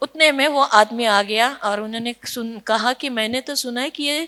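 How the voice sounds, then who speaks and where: A woman speaks with a Marathi accent. Her pitch is high. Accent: Marathi-tinged Hindi. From Nashik, Maharashtra, India. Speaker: social worker. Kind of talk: conference talk. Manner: storytelling with hesitations.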